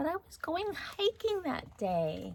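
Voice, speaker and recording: A put-on character voice, female-sounding and extremely high-pitched, at a fairly slow pace. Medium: read story. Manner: breezy, carefree.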